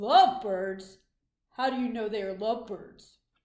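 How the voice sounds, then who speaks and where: A woman puts on a character voice at a fairly high pitch. Her pace is moderate. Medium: read story. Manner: calm, matter-of-fact.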